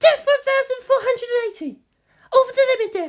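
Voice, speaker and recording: This put-on character voice sits at an extremely high pitch and sounds squeaky. It moves at a fairly quick pace. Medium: read story. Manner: reporting numbers, anxious.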